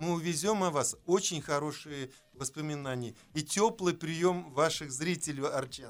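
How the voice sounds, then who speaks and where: A man talks in an ordinary speaking voice at a fairly high pitch. His pace is fairly slow, with ordinary pitch variation. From Orenburg region, Russia. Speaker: theatre director. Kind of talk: radio interview. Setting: radio studio.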